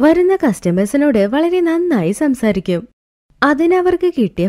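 Her dark, mellow tone moves through big pitch swings as the woman speaks at a moderate pace.

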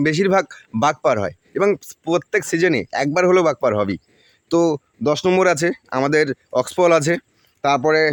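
This man talks with a high pitch and ordinary variation in it. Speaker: village vlogger. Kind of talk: vlog narration.

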